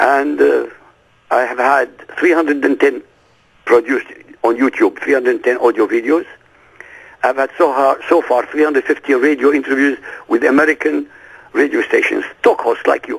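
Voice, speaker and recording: A man talks at a moderate pace with an Arabic accent. His speech is broken by long, frequent pauses. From Iraq. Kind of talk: interview.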